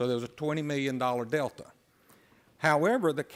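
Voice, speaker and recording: A man with an Alabama accent is heard on a very clean recording with a silent background. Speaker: county official. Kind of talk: formal briefing. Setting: county commission meeting.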